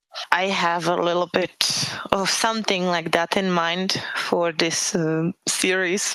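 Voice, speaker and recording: This woman has a fairly low pitch and a Czech accent. She talks very slowly in a flat monotone at a very even loudness. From Czech Republic. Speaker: author. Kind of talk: interview. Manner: halting.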